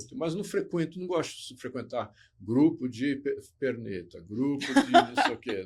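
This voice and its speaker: The recording is very clean and the background silent. A man talks fairly slowly. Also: big swings in loudness. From Botucatu, São Paulo state, Brazil. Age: 60s. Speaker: former model and motivational speaker. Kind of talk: casual interview chat.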